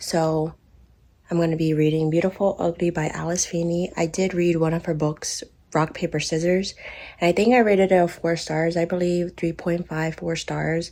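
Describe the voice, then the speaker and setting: A woman's fairly low, monotone voice, flat in intonation and moderate in pace, over noticeable background noise. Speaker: reading vlogger. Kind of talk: casual vlog talk. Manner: soft-spoken.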